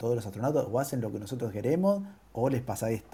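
A man talks at a very fast pace in a dark, mellow tone. His voice is somewhat breathy. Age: 50s. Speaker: co-moderator. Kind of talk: casual chat.

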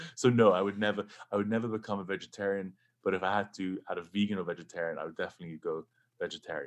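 Delivered at a very fast pace, the speech comes with an English accent and fairly even intonation. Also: man, fairly low pitch for a man. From England. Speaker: rock guitarist and producer. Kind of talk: casual interview. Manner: halting, many restarts.

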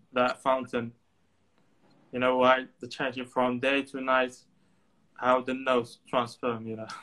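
Speaking with a Moroccan accent, a man uses a bright, sharp tone and monotone, flat intonation. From Morocco, Tangier. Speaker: photographer and student. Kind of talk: casual interview. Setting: remote call. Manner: halting, with many fillers.

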